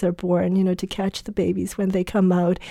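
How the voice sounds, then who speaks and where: On a very clean recording with a silent background, a woman speaks at a moderate pace and medium pitch, her tone dark and mellow and her intonation monotone and flat. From Vietnam. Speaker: family doctor and former refugee. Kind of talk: interview testimony.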